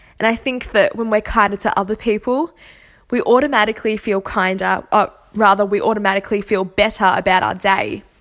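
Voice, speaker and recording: Against a silent background on a very clean recording, the speaker talks fairly quickly with an Australian accent and fairly even intonation. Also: woman, fairly high pitch for a woman. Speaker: podcast host. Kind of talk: solo podcast monologue on spirituality.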